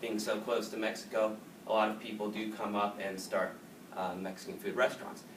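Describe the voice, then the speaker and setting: A man with an American accent talks at a fairly quick pace in a flat monotone with a fairly low pitch. The room echo is audible. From Southern California, San Diego. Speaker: student. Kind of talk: class presentation. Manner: casual, filler-heavy.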